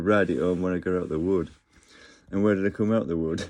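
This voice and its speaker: A man with an English accent, very deep and low in pitch, dark and mellow in tone, at a very fast pace with fairly even intonation, against a quiet background. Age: 50s. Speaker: vlogger. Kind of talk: casual monologue. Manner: halting.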